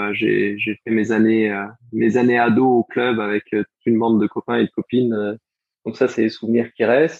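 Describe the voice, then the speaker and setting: A medium-pitched male voice at a moderate pace, monotone with flat intonation. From France, Strasbourg (Alsace). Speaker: former Olympic sprint kayaker. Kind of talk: interview.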